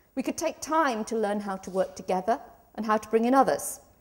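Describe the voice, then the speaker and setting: Noticeable background noise fills the recording. A woman speaks at a fairly quick pace. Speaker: law professor. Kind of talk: conference talk. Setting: conference stage with audience. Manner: loud.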